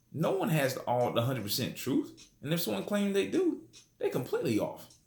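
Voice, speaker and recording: A man talks at a fairly quick pace, and audible room echo follows his words. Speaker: religious teacher. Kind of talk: bible study lesson. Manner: fast.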